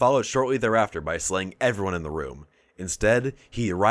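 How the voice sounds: The voice reads the words naturally.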